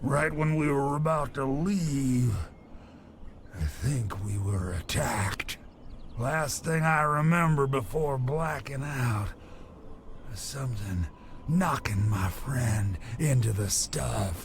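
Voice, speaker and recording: Putting on a character voice at a medium pitch, a man speaks at a fairly slow pace with long, frequent pauses over clear background noise. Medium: video game. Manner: rambling, halting.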